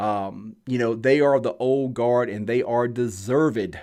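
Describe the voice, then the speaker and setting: A man with a Southern US accent, medium pitch and fairly even intonation, very slow pace, quiet background. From US South. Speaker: blacksmith. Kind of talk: live stream Q&A talk. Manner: casual, conversational.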